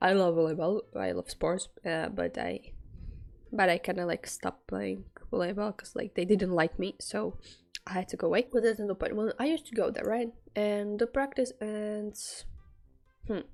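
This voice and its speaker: A woman speaks with a non-native accent at a moderate pace. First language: not English. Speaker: student storyteller, streamer. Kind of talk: casual storytime monologue. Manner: halting, many fillers.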